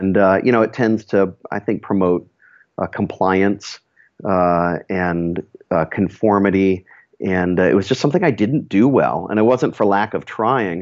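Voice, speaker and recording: A man has a normal speaking voice, fairly low in pitch with ordinary pitch variation and very even loudness, at a fairly slow pace. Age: 40s. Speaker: nonprofit director. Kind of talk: interview.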